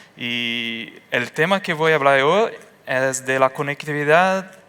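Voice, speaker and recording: A man speaks in a Portuguese accent at a very slow pace. His tone is bright and sharp. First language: Portuguese (speaking Spanish). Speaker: engineer. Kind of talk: conference talk. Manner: halting.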